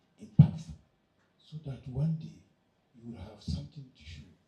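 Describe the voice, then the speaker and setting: A man speaks at a fairly slow pace in a medium pitch with a dark, mellow tone. His voice shows vocal fry and very wide pitch swings. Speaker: conference speaker. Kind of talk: speech to youth audience. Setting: conference hall with audience.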